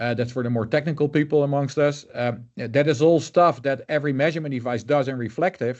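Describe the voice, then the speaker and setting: At a fairly quick pace, a man with a fairly high pitch speaks with fairly even intonation. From Netherlands. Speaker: color management expert. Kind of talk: interview. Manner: hesitant, many fillers.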